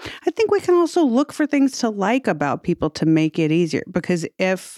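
A woman at a moderate pace, on a very clean recording with a silent background and a dry, close sound with no echo. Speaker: podcast host and comedian. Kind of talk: casual chat. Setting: studio. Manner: flat, unexpressive tone.

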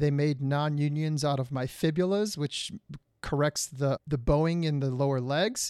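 Fairly high-pitched, a man with an American accent uses fairly even intonation in an unremarkable speaking voice. The recording is very clean with a silent background and a dry, close sound with no echo. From Detroit, Michigan. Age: 40s. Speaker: television producer and actor. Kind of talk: interview.

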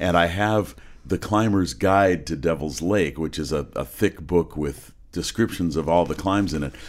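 A man speaks at a moderate pace with vocal fry, his very deep, low pitch moving with ordinary variation. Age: 60s. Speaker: podcast host. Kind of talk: casual interview. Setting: studio.

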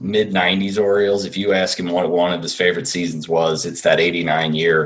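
With an American accent, a man talks at a moderate pace in a very deep, low voice with fairly even intonation over noticeable background noise. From central New Jersey. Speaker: sports fan guest. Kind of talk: casual chat.

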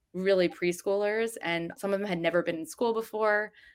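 This woman has an ordinary speaking voice with an American accent, fairly even intonation and a moderate pace. Her recording is very clean, with a silent background. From New Jersey. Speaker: journalist and editor. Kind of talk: interview.

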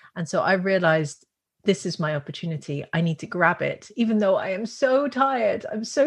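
A woman speaks at a medium pitch, somewhat breathy, with lively intonation. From Netherlands. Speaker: business school founder, entrepreneur. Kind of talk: interview.

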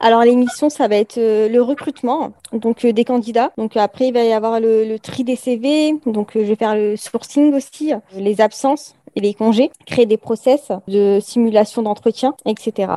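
Fairly high-pitched woman with a dark, mellow tone, fairly even intonation and hardly any pauses, in a dry, close sound with no echo. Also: fairly slow pace. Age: 20s. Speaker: HR assistant apprentice. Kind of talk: interview. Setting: remote call. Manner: hesitant, many fillers.

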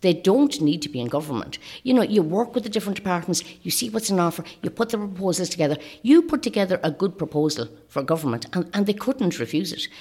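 A woman talks very fast at a medium pitch, her dark, mellow tone moving through very wide pitch swings. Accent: north-west Irish. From Ireland, County Leitrim. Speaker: election candidate. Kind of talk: interview.

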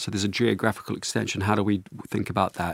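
This man speaks with a New Zealand accent. His voice carries vocal fry. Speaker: CEO and author on organization design. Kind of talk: interview. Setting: studio.

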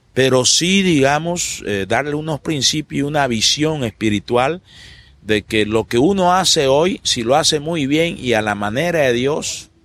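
With an unremarkable speaking voice, a man talks at a fairly slow pace using lively intonation. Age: 50s. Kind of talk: interview.

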